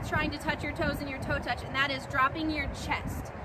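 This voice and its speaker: Loud background noise sits under a woman speaking at a moderate pace. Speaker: cheer instructor. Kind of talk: tutorial. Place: open country. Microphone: camera far.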